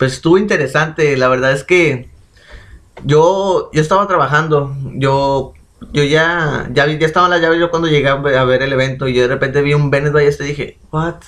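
A man speaks fairly quickly in a plain, everyday voice. His pitch is fairly high and his intonation fairly even. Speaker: podcast co-host. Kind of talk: casual chat.

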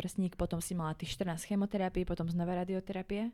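A woman's very fast, monotone, flat delivery at medium pitch in a dark, mellow tone. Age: young. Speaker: podcast host. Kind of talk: interview.

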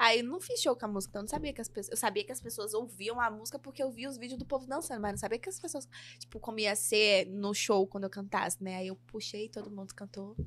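In a São Paulo accent, a woman rushes along at a very fast pace with hardly any pauses, her fairly high voice showing ordinary pitch variation. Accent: São Paulo Brazilian Portuguese. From São Paulo, Brazil. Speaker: funk singer. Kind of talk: casual interview.

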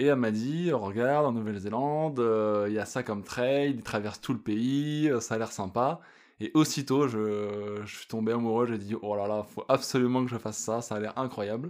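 The recording is very clean with a silent background. A man speaks at a moderate pace with medium pitch and ordinary pitch variation. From France. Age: 30s. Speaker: hiker. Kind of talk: casual interview.

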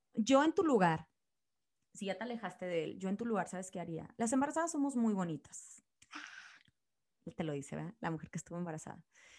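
In an animated tone, a woman talks at a fairly quick pace, her medium pitch swinging very widely. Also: big swings in loudness. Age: 30s. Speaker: podcast host. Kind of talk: casual chat.

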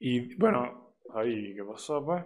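A man of medium pitch speaks in a Venezuelan accent. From Venezuela, Barquisimeto. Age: 20s. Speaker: podcast host. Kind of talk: casual monologue.

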